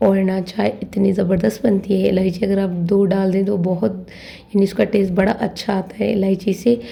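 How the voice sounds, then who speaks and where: A woman talks at a moderate pace and a medium pitch, in a monotone, flat intonation. Her loudness is very even, and noticeable background noise is present. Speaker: vlogger. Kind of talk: shopping vlog. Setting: grocery store.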